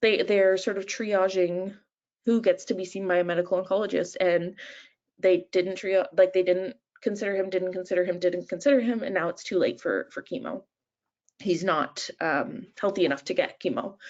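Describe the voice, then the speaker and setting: A woman with a Canadian accent talks at a medium pitch with ordinary pitch variation. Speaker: nurse and patient support manager, webinar presenter. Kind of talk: webinar presentation. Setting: online webinar. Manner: fast; hesitant, many fillers.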